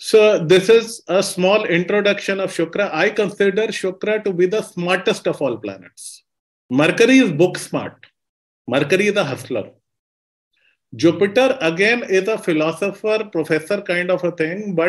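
A man's voice, high in pitch, moves at a moderate pace. The background is quiet. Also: ordinary pitch variation. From India. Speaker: astrologer. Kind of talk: lecture. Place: home room. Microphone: webcam.

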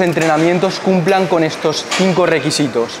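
Clear background noise accompanies a man who speaks at a moderate pace with a high pitch.

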